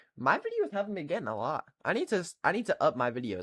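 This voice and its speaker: On a very clean recording with a silent background, a man with a Kentucky accent speaks at a fairly quick pace in a dry, close sound with no echo. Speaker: weather livestreamer. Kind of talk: live weather coverage with chat. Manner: casual, chatty.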